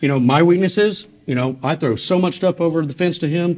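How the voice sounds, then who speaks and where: The voice belongs to a man. Its pitch shifts to an ordinary degree. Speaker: guest. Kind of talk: casual conversation storytelling. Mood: relaxed, amused. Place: bar.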